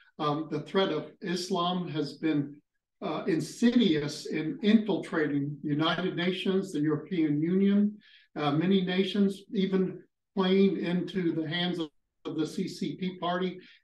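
Audible room echo surrounds fairly slow speech with fairly even intonation. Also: man, high pitch for a man. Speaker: ministry school host. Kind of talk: panel discussion and prayer. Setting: live session with online audience. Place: home room.

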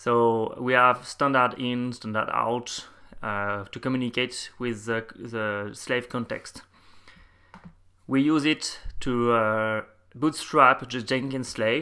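A man with a French accent speaks very slowly at a medium pitch, his bright, sharp tone carried on fairly even intonation in a very clean recording with a silent background. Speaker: software developer. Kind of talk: technical presentation.

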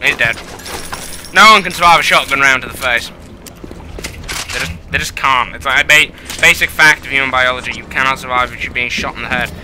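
A man at medium pitch talks at a fairly quick pace with lively intonation, big swings in loudness, and long, frequent pauses. Background noise is noticeable. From England. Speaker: let's play gamer. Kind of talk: gameplay commentary. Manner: casual, joking, swears.

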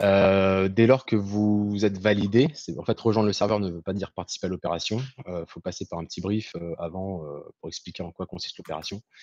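In a normal speaking voice, a man talks at a fairly quick pace and a fairly low pitch with ordinary pitch variation and big swings in loudness, in a dry sound with no echo against a quiet background. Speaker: activist organizer. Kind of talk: explanation. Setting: video call.

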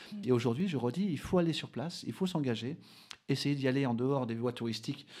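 A man at a very fast pace, dark and mellow in tone, with lively intonation against a quiet background. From French Basque Country (Bidart); French Basque Country. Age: 40s. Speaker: adventurer and explorer; interview guest. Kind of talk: radio interview. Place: studio. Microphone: studio mic.

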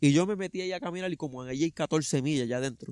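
Very fast and fairly high-pitched, a man speaks with ordinary pitch variation in a dry sound with no echo. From Puerto Rico, Vega Baja; Puerto Rico. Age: 30s. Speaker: truck driver and trail runner; interviewee. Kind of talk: interview, personal story. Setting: outdoors in a park. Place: open country.

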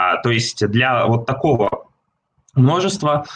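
Light background noise sits behind a man whose voice is somewhat breathy. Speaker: seminar presenter. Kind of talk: lecture. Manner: halting. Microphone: video call.

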